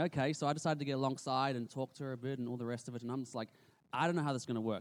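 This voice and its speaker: A man with an Australian accent and a medium pitch. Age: 30s. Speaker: youth pastor. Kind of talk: church presentation. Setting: stage with audience.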